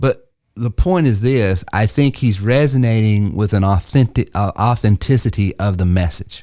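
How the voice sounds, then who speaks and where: Here a man with a Southern US accent speaks at a fairly low pitch in a dark, mellow tone, with ordinary pitch variation and very even loudness. The recording is very clean, the background silent. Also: moderate pace. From US South. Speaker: entrepreneur and sales coach. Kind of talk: podcast panel discussion. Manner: conversational, with fillers.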